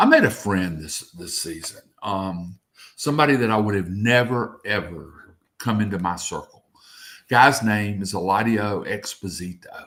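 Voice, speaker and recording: This man has an unremarkable speaking voice, fairly low in pitch with ordinary pitch variation and big swings in loudness. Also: moderate pace. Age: 60s. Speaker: local TV news reporter. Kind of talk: sports radio talk show interview.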